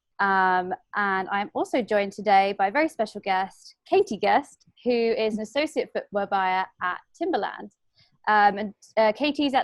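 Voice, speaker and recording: A woman's medium-pitched voice with a British accent at a moderate pace, dry and close with no echo against a quiet background. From UK. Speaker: fashion designer and webinar host. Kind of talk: webinar introduction. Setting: video call webinar. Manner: hesitant, many fillers.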